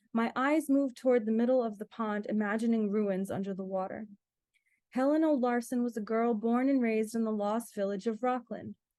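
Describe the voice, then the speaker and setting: Fairly high in pitch, a woman with an ordinary speaking voice talks with an American accent and fairly even intonation. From Rhode Island, US (from age six). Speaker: author. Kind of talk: reading aloud.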